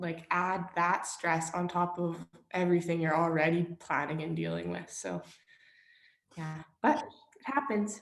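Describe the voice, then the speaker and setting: Here is a woman with an unremarkable speaking voice and a Canadian accent. Her pitch is fairly low, her pitch variation ordinary and her pace fairly slow. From Saskatchewan, Canada. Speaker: clothing business owner. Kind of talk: interview answer.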